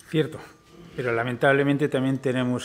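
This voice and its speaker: A man is speaking here. He has a Castilian accent. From Spain. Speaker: forum moderator. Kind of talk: moderated interview. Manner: formal. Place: hall. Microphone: podium.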